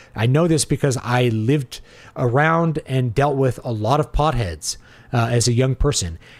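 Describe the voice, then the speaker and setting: A man with an unremarkable speaking voice talks at a moderate pace in a medium pitch, with ordinary pitch variation, very even loudness, and a very clean recording with a silent background. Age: 40s. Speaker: livestream host answering chat. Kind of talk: casual livestream commentary reading chat. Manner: conversational, with filler words.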